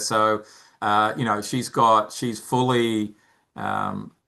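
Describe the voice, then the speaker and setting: With an Australian accent, a man talks at a medium pitch in a bright, sharp tone with fairly even intonation. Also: quiet background. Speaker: founder of a mentoring charity. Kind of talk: interview. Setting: podcast interview. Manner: halting, many repeated words.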